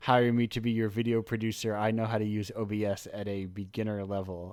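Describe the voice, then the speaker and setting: A man talks at a moderate pace with fairly low pitch. His intonation is monotone and flat. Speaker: radio show host. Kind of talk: casual chat. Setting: online radio show over Discord. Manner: distinct host cadence.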